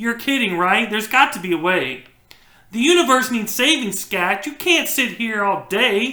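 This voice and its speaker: The speaker uses a put-on character voice with fairly high pitch. The pace is moderate. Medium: read story.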